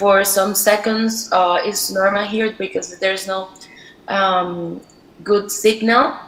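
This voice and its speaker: A woman speaks very slowly with a Spanish accent and a monotone, flat delivery. Noticeable background noise runs underneath. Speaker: storyteller. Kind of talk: online presentation. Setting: video call from a mountain. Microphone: poor internet signal.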